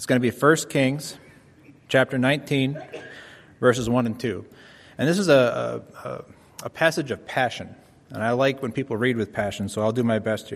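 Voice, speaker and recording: A man with medium pitch and ordinary pitch variation speaks at a moderate pace, leaving long, frequent pauses. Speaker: scripture reader. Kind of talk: reading aloud. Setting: church.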